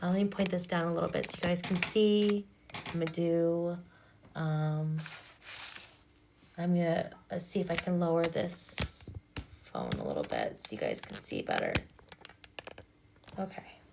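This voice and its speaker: With a calm tone and fairly even intonation, the speaker goes at a moderate pace with long, frequent pauses over noticeable background noise. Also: woman, fairly low pitch for a woman. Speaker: hypnotherapist and energy reader. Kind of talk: livestream chat.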